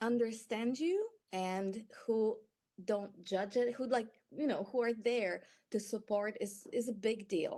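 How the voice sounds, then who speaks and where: A woman with a Polish accent speaks at a fairly slow pace in a fairly high pitch, with ordinary pitch variation and a dark, mellow tone. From Poland. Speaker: patient advocate. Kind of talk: testimony. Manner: halting.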